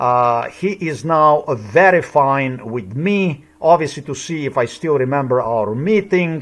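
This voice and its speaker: A man with a fairly high pitch speaks at a fairly slow pace with ordinary pitch variation. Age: 50s. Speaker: video blogger. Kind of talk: commentary over a recording. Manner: agitated.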